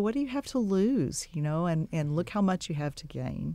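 Recorded very cleanly against a silent background, a woman with an American accent speaks at a moderate pace in a dark, mellow tone. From Texas Gulf Coast. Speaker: dentist and romance novelist. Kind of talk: radio interview. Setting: studio.

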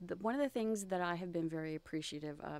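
With a dark, mellow tone, a woman speaks at a fairly low pitch with ordinary pitch variation. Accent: Texan. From Texas, Galveston. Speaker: photographer. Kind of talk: interview.

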